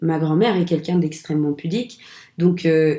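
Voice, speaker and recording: Fairly low in pitch, a woman speaks with fairly even intonation. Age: 20s. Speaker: actress. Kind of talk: casual interview. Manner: hesitant, many fillers.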